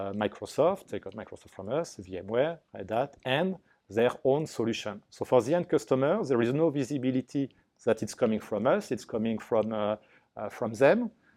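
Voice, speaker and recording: A man with a French accent talks at a moderate pace in a medium-pitched voice of dark, mellow tone. His intonation is lively and his loudness swings widely. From France. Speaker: business development manager. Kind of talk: business interview. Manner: halting.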